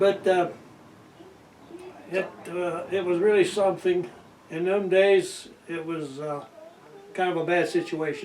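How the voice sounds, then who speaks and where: A man with a high pitch talks at a fairly slow pace, leaving long, frequent pauses. His intonation is fairly even, with noticeable background noise. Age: 80s+. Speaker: World War II navy veteran. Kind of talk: interview answer. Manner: storytelling, hesitant.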